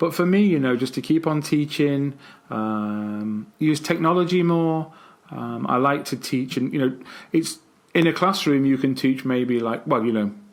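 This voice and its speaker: Recorded very cleanly against a silent background, a man with a fairly high pitch talks at a moderate pace. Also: ordinary pitch variation. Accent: British. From England. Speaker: English teacher. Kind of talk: casual podcast chat.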